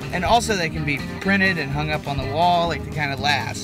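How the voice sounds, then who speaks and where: A man's voice at a moderate pace, dry with no echo, over clear music in the background. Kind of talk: casual vlog chat. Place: car. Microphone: phone near.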